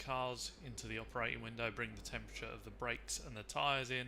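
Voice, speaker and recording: A man with a British accent talks amid audible room echo. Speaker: sim racing commentator. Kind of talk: live commentary. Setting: live stream. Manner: usually shouting, gets hyped.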